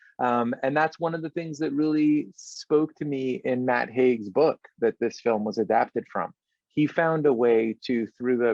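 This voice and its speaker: Here is a man with a plain, everyday voice and an American accent, at medium pitch with ordinary pitch variation. He keeps a moderate pace in a dry, close sound with no echo. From Los Angeles, after childhood in London and Israel. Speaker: film director. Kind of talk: interview.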